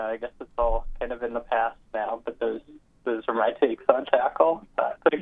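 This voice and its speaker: A man talks at a medium pitch and a moderate pace. His is an unremarkable speaking voice. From Toronto, Canada. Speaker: caller. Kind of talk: casual sports call-in. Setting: phone call.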